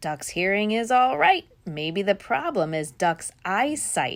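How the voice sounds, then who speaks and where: A female-sounding voice uses a put-on character voice at medium pitch. The pace is fairly slow. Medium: read story.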